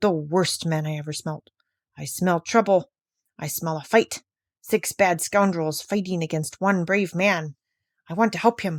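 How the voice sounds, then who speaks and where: A woman growls in a put-on character voice, pitched fairly low, at a moderate pace. The recording is very clean, with a silent background. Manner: growling, excited.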